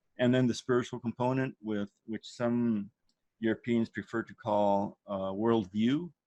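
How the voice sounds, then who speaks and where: Speaking with a non-native accent, a man talks at a fairly slow pace and a fairly low pitch. His intonation stays fairly even in a dry, close sound with no echo. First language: not English. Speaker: course leader. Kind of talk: online course introduction. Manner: hesitant, many fillers.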